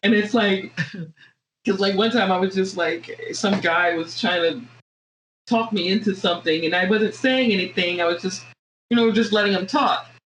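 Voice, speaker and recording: Somewhat breathy and at medium pitch, a woman with an American accent speaks with very even loudness and long, frequent pauses. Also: ordinary pitch variation, moderate pace. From US South, Virginia. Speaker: podcast co-host. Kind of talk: casual chat. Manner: hesitant, many fillers.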